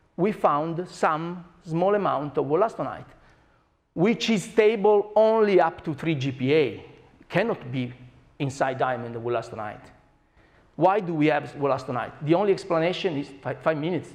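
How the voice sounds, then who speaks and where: With an Italian accent, a man talks at a moderate pace using lively intonation. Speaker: scientist. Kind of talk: lecture. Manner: animated.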